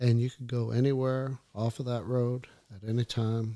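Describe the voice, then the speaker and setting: Speaking in an American accent, a man has a dark, mellow tone at a medium pitch, with fairly even intonation and a moderate pace. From Upper Peninsula of Michigan. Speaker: hunter, host's father. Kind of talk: casual chat.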